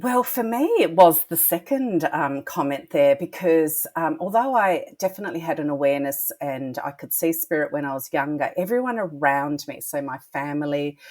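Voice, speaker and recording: Hardly any pauses break this woman's speech, which moves at a moderate pace in an Australian accent. Her fairly low pitch swings very widely. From Australia, Melbourne. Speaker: psychic medium. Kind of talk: podcast interview.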